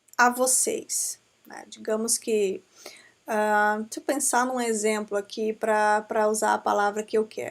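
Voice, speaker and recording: A woman speaks with an Amazonian Brazilian accent. The recording is very clean with a silent background. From Brazil, Amazonas. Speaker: law professor. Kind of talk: lecture. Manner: conversational, with frequent fillers.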